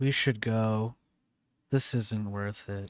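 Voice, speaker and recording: A man in a put-on character voice at a medium pitch, on a very clean recording with a silent background. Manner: mesmeric, dreamy, flat.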